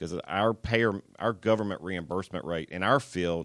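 Vocal fry marks a man's very deep, low pitch in a very clean recording with a silent background. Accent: American. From US South, Atlanta. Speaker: anesthesiologist. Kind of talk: interview.

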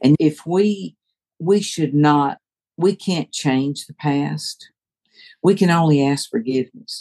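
In an American accent, a woman speaks with a very deep, low pitch and a dark, mellow tone, her pitch variation ordinary, in a dry, close sound with no echo. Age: 70s. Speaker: author. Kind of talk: interview.

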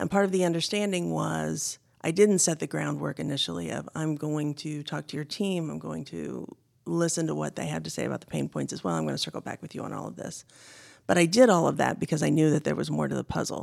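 A woman at a very fast pace with an American accent and big swings in loudness. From Indiana, US Midwest. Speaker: business consultant. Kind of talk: interview. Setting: studio.

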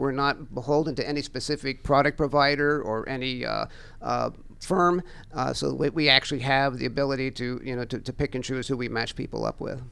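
Bright and sharp in tone, a man speaks in an American accent with medium pitch. His pace is fairly quick and his intonation fairly even. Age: 60s. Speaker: financial educator. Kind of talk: radio interview. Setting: studio.

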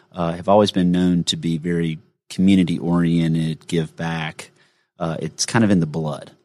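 Recorded very cleanly against a silent background, a man with a Southern US accent speaks at a fairly quick pace in a very deep, low voice. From Gainesville, Georgia. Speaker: financial advisor. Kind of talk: casual chat. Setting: studio.

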